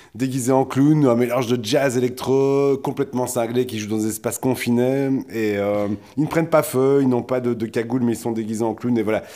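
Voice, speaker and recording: Using an ordinary speaking voice, a man talks at a fairly quick pace with medium pitch and fairly even intonation. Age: 40s. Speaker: podcast co-host. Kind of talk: casual chat.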